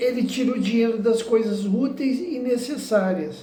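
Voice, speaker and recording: This man talks at an extremely high pitch and a very slow pace. Noticeable background noise runs under his voice. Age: 60s. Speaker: political candidate. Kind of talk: interview answers. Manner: halting.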